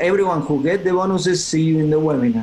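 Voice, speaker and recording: Fairly even intonation marks this man's fairly high-pitched voice. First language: Spanish. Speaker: content creator. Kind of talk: interview. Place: home room. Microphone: video call.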